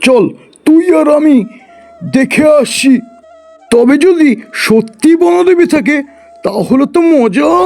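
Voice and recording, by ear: A man performs a cartoonish character voice at a fairly slow pace, with faint music in the background.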